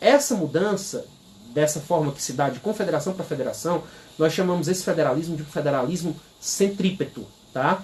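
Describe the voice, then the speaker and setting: Audible room echo surrounds speech delivered at a fairly quick pace with ordinary pitch variation. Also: man, high pitch for a man. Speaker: law professor. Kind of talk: lecture. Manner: fast.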